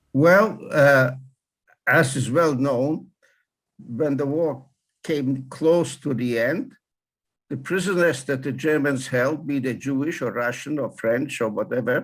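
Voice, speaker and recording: A man at a fairly high pitch, very slow with long, frequent pauses and ordinary pitch variation, on a very clean recording with a silent background. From Poland. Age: 90s. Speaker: Holocaust survivor. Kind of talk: interview testimony. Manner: halting.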